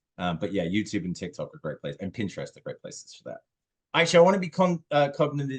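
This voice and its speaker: Very fast speech from a man with a British accent, full of very wide pitch swings. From UK. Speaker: social media manager. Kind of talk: webinar Q&A.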